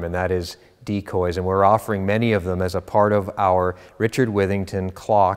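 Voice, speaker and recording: A man with an unremarkable speaking voice talks at a moderate pace in a fairly low pitch against a quiet background. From Canada. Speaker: auctioneer. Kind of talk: auction house promotional presentation to camera. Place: studio. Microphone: lapel.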